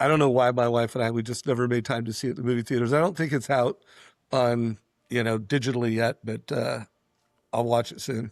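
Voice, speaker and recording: In a very clean, dry, close recording with no echo and a silent background, a man with an ordinary speaking voice talks at a fairly quick pace with fairly even intonation. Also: medium pitch for a man. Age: 60s. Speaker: entrepreneur. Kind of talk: podcast interview.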